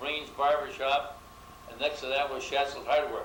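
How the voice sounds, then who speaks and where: With an American accent, the speaker goes at a fairly slow pace through noticeable background noise and audible room echo. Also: man. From US Northeast, Rochester, New York. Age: 80s+. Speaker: longtime neighborhood resident. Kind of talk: oral history interview. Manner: halting, with fillers.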